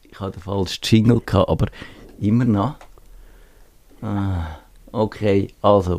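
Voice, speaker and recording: Speaking with a Swiss accent at a fairly slow pace, this voice keeps a fairly even intonation. Its loudness swings widely, and long pauses come often. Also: man, fairly low pitch for a man. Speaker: radio host. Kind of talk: casual chat. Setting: studio.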